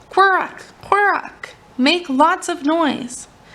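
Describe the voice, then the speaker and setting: A woman puts on a character voice, pitched extremely high and delivered at a very slow pace. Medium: read story.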